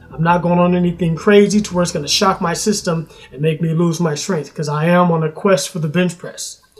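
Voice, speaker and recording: With music in the background, a man speaks in a high voice with fairly even intonation. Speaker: fitness vlogger. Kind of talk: casual vlog talk to camera. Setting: at home. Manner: fast.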